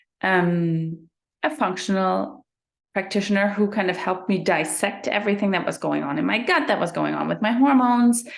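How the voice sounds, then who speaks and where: A woman with a slight German accent, medium pitch and lively intonation, at a moderate pace against a quiet background. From Germany. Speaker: sleep coach. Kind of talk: interview.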